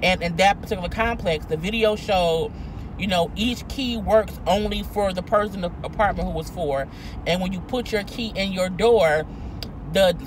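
Noticeable noise behind a woman's dry, echo-free voice. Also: ordinary pitch variation, moderate pace. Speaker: vlogger. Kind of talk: casual vlog commentary on a news story. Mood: indignant, incredulous. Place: car. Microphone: phone near.

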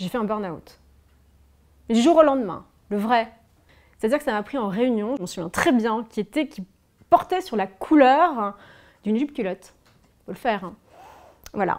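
A woman speaks at a moderate pace in a fairly high voice, with lively intonation, big swings in loudness and long, frequent pauses, against a quiet background. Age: 30s. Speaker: former fashion designer and author; interviewee. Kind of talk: personal testimony interview. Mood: reflective, candid, emotional. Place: home room.

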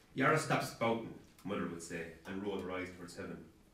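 A man talks with a very deep, low pitch. Light background noise and audible room echo fill the recording. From Ireland. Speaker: author. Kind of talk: author reading aloud from his novel. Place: hall.

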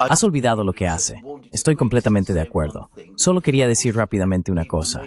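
This man talks at a very fast pace in a fairly low pitch. His pitch swings very widely. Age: 60s. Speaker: political commentator. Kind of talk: interview.

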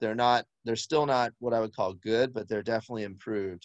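A man is heard over a quiet background, the sound dry with no echo. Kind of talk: presentation commentary on slides. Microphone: video call.

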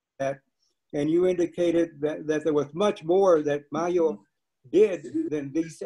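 A man with an American accent speaks very slowly in a dark, mellow tone against a quiet background. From Texas. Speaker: panel moderator, professor emeritus. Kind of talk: panel moderation. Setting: video call. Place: home room. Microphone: video call.

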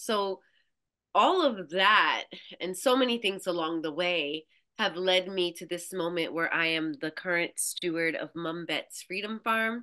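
In a quiet setting, a woman talks fairly slowly with a bright, sharp tone. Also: ordinary pitch variation. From Brooklyn, New York. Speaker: farmer and somatic practitioner. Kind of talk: casual interview conversation. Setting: video call. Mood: reflective, heartfelt. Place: home room. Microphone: video call.

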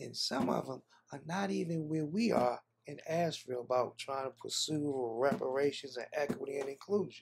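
A man talks at a moderate pace, his pitch varying in an ordinary way, while light background noise plays underneath. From Washington DC. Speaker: social entrepreneur and reparations commission member; guest. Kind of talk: interview. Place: home room.

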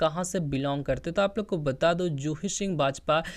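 A man speaks at a moderate pace with a high pitch and ordinary pitch variation over a quiet background. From Bihar, Patna. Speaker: YouTube channel narrator. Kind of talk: informal video narration to viewers.

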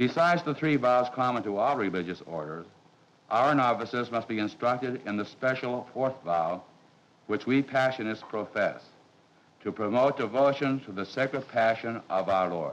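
A man's ordinary speaking voice, medium-pitched, with ordinary pitch variation and a moderate pace. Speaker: priest, master of novices. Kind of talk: formal explanation in a documentary. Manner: formal.

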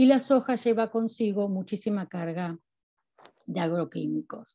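Over a quiet background, a woman speaks in a dark, mellow tone with ordinary pitch variation. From Argentina. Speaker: university researcher. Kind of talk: academic lecture. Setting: video call. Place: home room. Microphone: video call.

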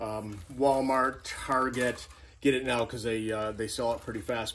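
Here a man speaks at a moderate pace with fairly even intonation. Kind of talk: casual vlog chat. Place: garage. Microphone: phone near.

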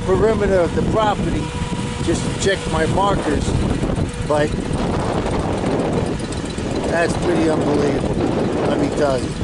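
A man at a moderate pace with ordinary pitch variation and long, frequent pauses, dry with no echo, over loud background noise. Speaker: ranch owner vlogger. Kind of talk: casual vlog chat. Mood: relaxed, appreciative. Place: open country. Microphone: phone near.

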